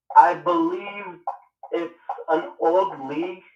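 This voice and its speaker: Over music in the background, the speaker talks in a monotone with flat intonation. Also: man. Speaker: semi-professional football player. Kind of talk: call-in conversation.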